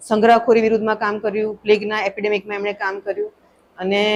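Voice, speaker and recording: With monotone, flat intonation, a woman speaks at a fairly high pitch over light background noise. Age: 40s. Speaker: doctor; podcast guest. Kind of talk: interview. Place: studio. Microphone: studio mic.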